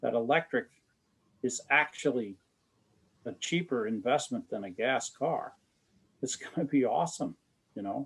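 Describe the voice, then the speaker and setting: A man speaks at a medium pitch. His pace is moderate, with ordinary pitch variation. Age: 60s. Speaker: battery researcher, professor. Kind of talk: panel discussion. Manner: enthusiastic, animated.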